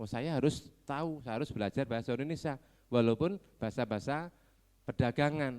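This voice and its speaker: At a fairly quick pace and medium pitch, a man talks with ordinary pitch variation on a very clean recording with a silent background. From Ponorogo, East Java. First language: Javanese (speaking Indonesian). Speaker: education office representative. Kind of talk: ceremonial speech. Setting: graduation ceremony.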